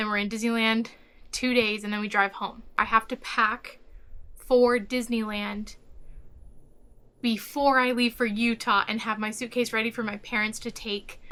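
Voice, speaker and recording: A woman's fairly high voice has a bright, sharp tone and monotone, flat intonation. She leaves long, frequent pauses. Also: moderate pace. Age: 20s. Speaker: travel vlogger. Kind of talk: vlog.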